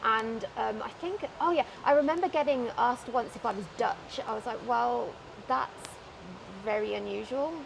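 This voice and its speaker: Against noticeable background noise, a woman with a British accent talks at a moderate pace. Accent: British, still noticeable. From UK. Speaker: wheelchair athlete. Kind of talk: casual chat. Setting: outdoors.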